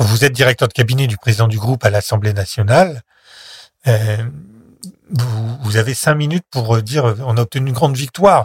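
A somewhat breathy man at a medium pitch and moderate pace, with ordinary pitch variation, in a very clean recording with a silent background. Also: dry, close sound with no echo. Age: 50s. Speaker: former political aide and member of European Parliament. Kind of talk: interview testimony. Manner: halting.

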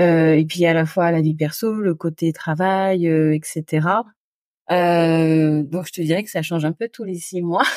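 A woman talks very slowly with a dark, mellow tone and a fairly low pitch. Her intonation stays fairly even while her loudness swings widely. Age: 40s. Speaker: podcaster and home organizing expert. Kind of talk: casual chat. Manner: hesitant, many fillers.

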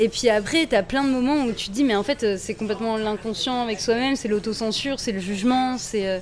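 A woman with a fairly high pitch and ordinary pitch variation speaks at a fairly quick pace with hardly any pauses, against noticeable background noise. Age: young. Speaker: ventriloquist. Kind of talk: interview. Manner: casual and animated.

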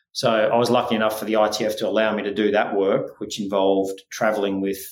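A man with an Australian accent speaks in a fairly low, monotone voice. His intonation stays flat at a moderate pace. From Scotland, raised in Australia. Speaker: tennis sports scientist and venture investor. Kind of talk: interview. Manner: hesitant, many fillers.

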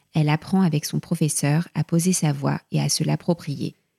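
A woman talks at a moderate pace in a very deep, low voice, somewhat breathy, with a dark, mellow tone. The sound is dry and close, with no echo. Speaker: podcast host. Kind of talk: interview intro and conversation.

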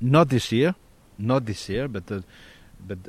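With a French accent, a man is talking. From Corsica. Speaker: national tennis federation president. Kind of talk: interview.

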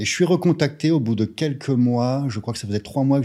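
A man speaks at a moderate pace with a dark, mellow tone and ordinary pitch variation. The recording is very clean, with a silent background. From France, provincial town. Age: 30s. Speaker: entrepreneur. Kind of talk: casual interview.

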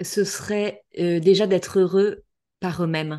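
A very slow-paced woman's voice, ordinary in its pitch variation. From western France, La Baule near Nantes. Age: 40s. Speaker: entrepreneur and author on couples. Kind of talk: interview conversation.

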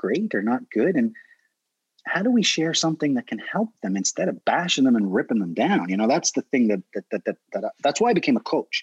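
A man's fairly high voice with very wide pitch swings and vocal fry, dry and close with no echo, over a quiet background. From Prince Edward Island, Canada. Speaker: dog trainer. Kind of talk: casual chat.

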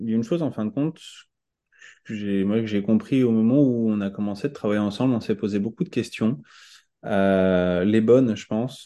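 In a quiet background, a man speaks with a dark, mellow tone, a fairly low pitch and ordinary pitch variation. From France, Touraine (Tours). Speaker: restaurant owner and baker. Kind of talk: casual interview.

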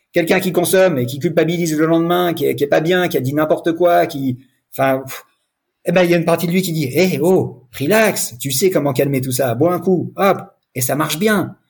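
At a moderate pace with ordinary pitch variation, the voice comes through on a very clean recording against a silent background. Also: man, high pitch for a man. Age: 40s. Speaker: sobriety coach. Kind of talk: testimony. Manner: halting.

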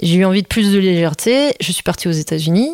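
A woman talks in a plain, everyday voice at a fairly quick pace. She has a medium pitch and ordinary pitch variation. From Belgium. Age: 30s. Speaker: choreographer. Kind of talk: interview. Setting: at host's home.

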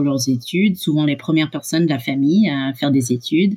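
The woman's voice is pitched very deep and low. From Canada and the USA. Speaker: startup co-founder. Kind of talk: interview. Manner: halting, with repetitions.

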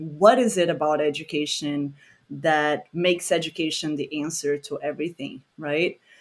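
The speaker is a woman with a Portuguese accent. She keeps a moderate pace. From Brazil, Rio de Janeiro. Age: 30s. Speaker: environmental educator. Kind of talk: casual chat.

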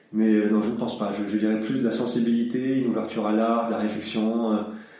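A man's medium-pitched, monotone, flat voice, with audible room echo and noticeable background noise. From southern France (Aix-en-Provence). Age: 40s. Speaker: dance class pianist. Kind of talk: interview. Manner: hesitant, many fillers.

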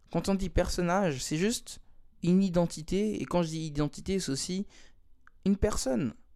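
The voice has a dark, mellow tone and leaves long, frequent pauses. The recording is very clean, with a silent background. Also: man, high pitch for a man, ordinary pitch variation, moderate pace. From Switzerland, Lausanne. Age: 20s. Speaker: dancer and beatmaker. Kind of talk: casual interview. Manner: hesitant, many fillers and repetitions.

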